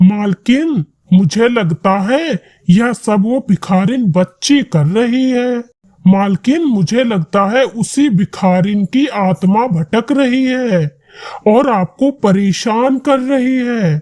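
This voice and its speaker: This is a cartoonish character voice with lively intonation. The pace is fairly slow. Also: man, high pitch for a man. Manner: deferential.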